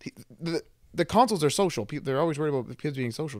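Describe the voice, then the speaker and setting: A man with a fairly high pitch, at a very fast pace. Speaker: video game podcast co-host. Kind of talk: casual chat. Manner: animated.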